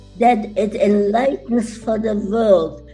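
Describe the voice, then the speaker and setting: With music behind her, the woman talks in a fairly high voice. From Czechoslovakia. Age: 80s+. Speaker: Holocaust survivor. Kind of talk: testimony talk.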